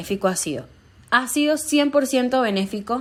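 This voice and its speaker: A woman with a Venezuelan accent and lively intonation, on a very clean recording with a silent background. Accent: Venezuelan, kept; often taken for Colombian. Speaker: stand-up comedian. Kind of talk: interview testimony.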